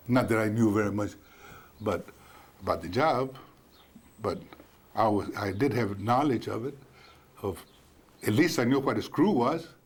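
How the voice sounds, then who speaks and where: Speaking at a moderate pace with lively intonation, a man with an American accent and a medium pitch leaves long, frequent pauses. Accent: Mexican American South Texas English. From South Texas (Kingsville). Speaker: war veteran. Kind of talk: oral history interview. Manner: halting, with repetitions.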